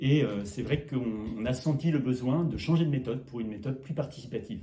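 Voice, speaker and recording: With audible room echo around him, a man talks at a fairly quick clip. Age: 60s. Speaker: mayor, local politician. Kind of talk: interview.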